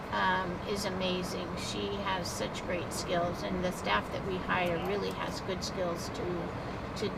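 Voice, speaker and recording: A woman speaks at a very slow pace. There is audible room echo and noticeable background noise. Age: 70s. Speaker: warming center operator. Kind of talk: casual chat.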